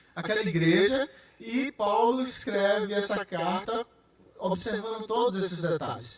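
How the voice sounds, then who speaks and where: Over noticeable background noise, a man with a high voice speaks at a fairly slow pace with ordinary pitch variation. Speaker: pastor teaching Bible study. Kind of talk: Bible study lecture.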